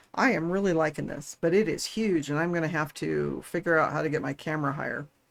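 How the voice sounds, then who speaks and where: Mumbling, a woman speaks at a fairly quick pace. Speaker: livestreamer building a model kit. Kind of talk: casual livestream chat.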